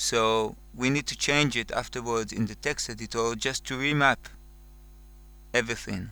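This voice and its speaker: A man's bright, sharp voice with a non-native accent, fairly even intonation and long, frequent pauses, on a very clean recording with a silent background. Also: medium pitch for a man. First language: not English. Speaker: music software tutorial maker. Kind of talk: tutorial. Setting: screen recording. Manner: slow, careful; hesitant, with fillers.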